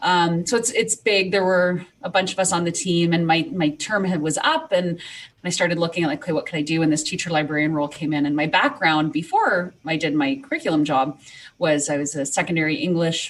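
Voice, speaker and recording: A woman talks at a very fast pace with a fairly low pitch. She has a slight Canadian accent. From Canada. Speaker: teacher librarian. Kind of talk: podcast interview. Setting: remote recording from home.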